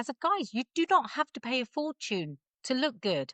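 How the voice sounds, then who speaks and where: A woman with an English accent speaks in a raised, projected voice, high in pitch with a bright, sharp tone and very wide pitch swings, in a dry, close sound with no echo. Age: 50s. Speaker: body confidence coach and stylist. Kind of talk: casual chat.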